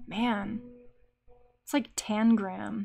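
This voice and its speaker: Music plays in the background. A woman with an American accent speaks at fairly high pitch in a monotone, flat intonation. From US Midwest. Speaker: artist live streamer. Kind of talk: live stream talking while drawing. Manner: casual, talking to herself.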